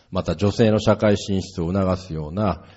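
A man speaks with ordinary pitch variation. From Japan. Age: 40s. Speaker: politician. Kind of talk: political speech. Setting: stage with audience.

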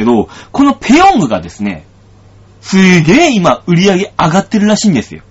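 At a fairly quick pace, a man speaks in an animated tone over noticeable background noise. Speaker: comedian and radio host. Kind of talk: casual solo radio talk. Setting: studio. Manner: animated, frequent laughter.

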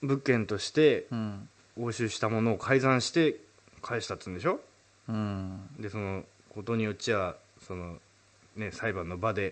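This man has a fairly low pitch with ordinary variation and talks at a moderate pace. His loudness swings widely, and he takes long, frequent pauses. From Urayasu area, Chiba, Japan. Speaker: singer-songwriter and radio host. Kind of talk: casual chat.

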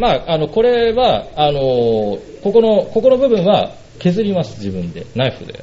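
A man talks at a fairly slow pace, his loudness swinging widely, with noticeable background noise behind him. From Urayasu, Chiba, Japan. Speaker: oboist. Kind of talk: casual interview chat. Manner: halting, many fillers.

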